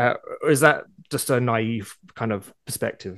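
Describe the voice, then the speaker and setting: A man's voice with vocal fry. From overseas. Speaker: podcast host. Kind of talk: interview. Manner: halting.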